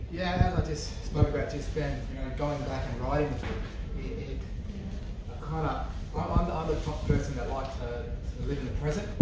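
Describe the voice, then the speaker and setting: A man talks at a moderate pace with audible room echo. Loud background noise is present. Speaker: interviewee. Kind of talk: interview answer. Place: office.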